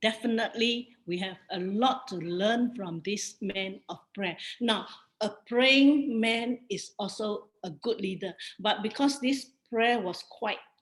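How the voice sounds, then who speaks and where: With a Singaporean accent, a woman speaks at a very slow pace in a fairly high, somewhat breathy voice, her pitch varying in an ordinary way. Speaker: bible study teacher. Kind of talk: bible study lecture with Q&A.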